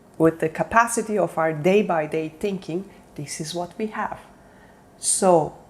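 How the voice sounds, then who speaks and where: With a non-native accent, a woman speaks at a fairly slow pace in a medium pitch with ordinary pitch variation. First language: not English. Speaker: self-development coach. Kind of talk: motivational talk. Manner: halting.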